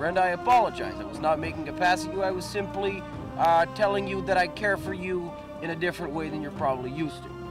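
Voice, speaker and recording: Very fast speech comes with big swings in loudness over clear music in the background. The sound is dry with no echo. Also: man. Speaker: comic character. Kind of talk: interview answer. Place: forest.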